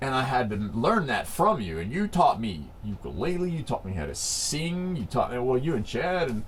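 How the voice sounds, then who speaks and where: A man's voice makes very wide pitch swings. Audible room echo and noticeable background noise surround him. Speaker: band member, rapper and singer. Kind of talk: interview. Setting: quiet room, on camera. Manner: animated.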